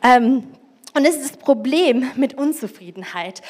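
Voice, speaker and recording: A woman speaks in an animated tone. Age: 40s. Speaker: preacher. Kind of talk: sermon. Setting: church.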